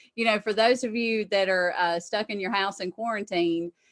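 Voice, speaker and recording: A woman speaks with a Southern US accent. Her pace is moderate and her intonation fairly even. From South Carolina. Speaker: tax accountant. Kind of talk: interview on live webinar. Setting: video call.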